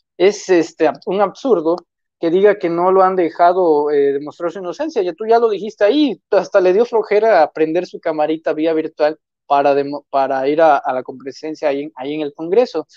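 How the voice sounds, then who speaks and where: A man with a high pitch at a fairly quick pace, dry sound with no echo, quiet background. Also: ordinary pitch variation. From Mexico, Tamaulipas. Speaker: political commentator and author; political commentator. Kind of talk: political commentary chat. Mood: critical, skeptical. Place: home room. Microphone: earbuds.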